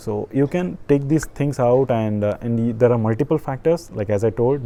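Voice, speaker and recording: Speaking with an Indian accent, a man uses a dark, mellow tone at a medium pitch, a moderate pace, and ordinary pitch variation. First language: an Indian language. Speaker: online business coach. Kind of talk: tutorial. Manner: halting.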